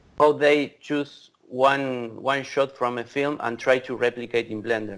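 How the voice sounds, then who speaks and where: A man talks at a fairly slow pace with an Argentine accent. There is noticeable background noise. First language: Spanish. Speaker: VFX creative director. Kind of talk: casual interview chat. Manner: halting, repetitive.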